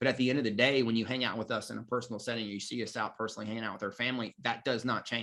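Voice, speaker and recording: The voice is loud, with a bright, sharp tone and a very fast pace. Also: man, medium pitch for a man, hardly any pauses. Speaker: marketing coach for life coaches. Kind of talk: online course lecture. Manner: loud and energetic; filler-heavy, halting.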